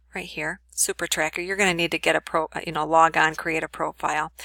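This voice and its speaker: Recorded very cleanly against a silent background, a woman's fairly low voice has a bright, sharp tone and fairly even intonation, with a dry, close sound and no echo. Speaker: college instructor. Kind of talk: recorded lecture tutorial. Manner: fast.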